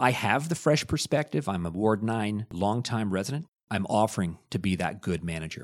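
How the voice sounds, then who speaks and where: In a plain, everyday voice, a man talks at a moderate pace with a fairly low pitch. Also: lively intonation. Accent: Canadian. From Hamilton, Ontario, Canada. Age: 50s. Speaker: city council candidate. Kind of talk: interview.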